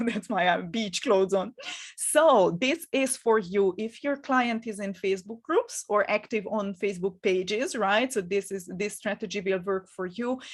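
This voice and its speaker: With a Hungarian accent, a woman talks at a moderate pace and medium pitch, using ordinary pitch variation and hardly any pauses. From Hungary. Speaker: business coach. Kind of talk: live webinar masterclass. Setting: live stream from home. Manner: halting, with frequent fillers and repetitions.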